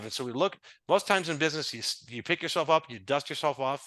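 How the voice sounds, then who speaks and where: This man has a fairly high pitch and a bright, sharp tone. The background is quiet. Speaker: business consultant. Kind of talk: podcast interview. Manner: fast.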